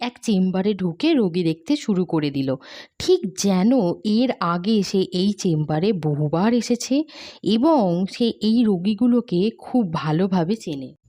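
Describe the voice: A woman speaks at a medium pitch with a dark, mellow tone and lively intonation. The recording is very clean, with a silent background.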